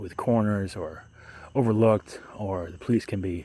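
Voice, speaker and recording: Fairly low in pitch, the man's voice has a dark, mellow tone. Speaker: vlogger. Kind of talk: casual monologue to camera. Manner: halting, many fillers.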